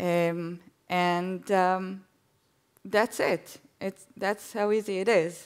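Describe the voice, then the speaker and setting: Against a quiet background, a woman speaks very slowly in a flat monotone, leaving long, frequent pauses. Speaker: guest speaker giving a demo; guest. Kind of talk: live demo on stage. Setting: stage with audience. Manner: hesitant, filler words. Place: stage.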